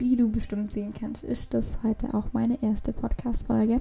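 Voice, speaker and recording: A woman's fairly high-pitched, normal speaking voice at a moderate pace. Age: young. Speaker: podcast host, personal development. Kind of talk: solo podcast monologue. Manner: casual, filler-heavy.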